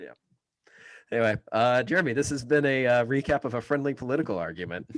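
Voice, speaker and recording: A man speaks at a medium pitch. His pitch varies an ordinary amount. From Kansas. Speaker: political podcast co-host. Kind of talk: casual chat. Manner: fast.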